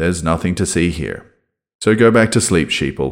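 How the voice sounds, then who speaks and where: Vocal fry runs through this voice, which moves at a moderate pace with ordinary pitch variation on a very clean recording with a silent background. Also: man. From Australia. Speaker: podcast host. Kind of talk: scripted intro then casual interview.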